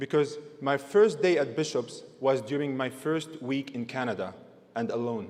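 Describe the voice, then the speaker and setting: Lively intonation marks this man's speech. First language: not English. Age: 20s. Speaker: university graduate, valedictorian. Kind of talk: valedictory speech. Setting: graduation ceremony stage with audience.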